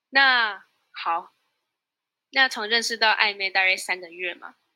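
In a very clean recording with a silent background, a woman speaks with a Taiwanese accent at a fairly slow pace. Her medium-pitched voice has a bright, sharp tone and ordinary pitch variation. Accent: Taiwanese Mandarin. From Taiwan (Tainan). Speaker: university student. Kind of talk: interview.

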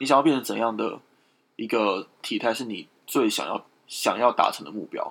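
Speaking at a moderate pace, a man with a medium pitch and vocal fry uses lively intonation and big swings in loudness. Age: 20s. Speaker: podcast co-host. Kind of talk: casual chat.

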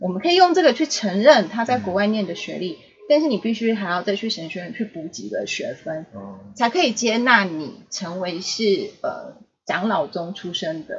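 A woman's medium-pitched voice with very wide pitch swings, big swings in loudness and a moderate pace. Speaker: pastor's child, podcast guest. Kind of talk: casual chat.

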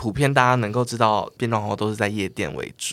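On a very clean recording with a silent background, an unremarkable speaking voice goes at a fairly quick pace. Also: man. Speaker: drag queen. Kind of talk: casual chat.

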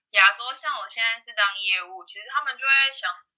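A woman talks at a moderate pace with lively intonation in a plain, everyday voice. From Taiwan. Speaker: salesperson. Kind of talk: casual interview.

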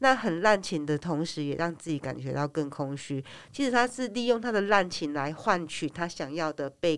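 An animated woman with a fairly low voice speaks with very wide pitch swings. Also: moderate pace. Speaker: podcast co-host. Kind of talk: casual chat. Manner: animated, laughs often.

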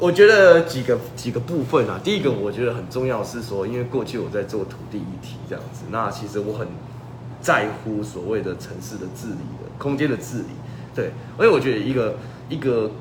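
Amid noticeable background noise and audible room echo, a man talks at a fairly quick pace with a medium pitch. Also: ordinary pitch variation, big swings in loudness. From Taiwan, Changhua. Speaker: political candidate. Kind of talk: interview. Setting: livestream. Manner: halting.

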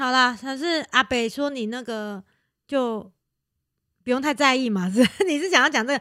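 In a very clean recording with a silent background, a woman's raised, projected voice sounds bright and sharp, high in pitch with ordinary variation, at a moderate pace broken by long, frequent pauses. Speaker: podcast co-host. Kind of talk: casual chat.

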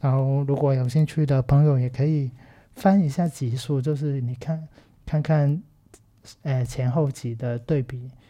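Fairly slow speech with a Cantonese accent. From Macau. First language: Cantonese (speaking Chinese). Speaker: film podcast host and teacher. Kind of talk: casual solo commentary. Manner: halting, many fillers.

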